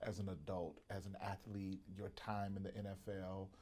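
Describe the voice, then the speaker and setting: A man's fairly low voice has a dark, mellow tone and monotone, flat intonation. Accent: Southern US. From US South, Mississippi. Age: 40s. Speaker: podcast host and pastor. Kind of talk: interview. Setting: studio.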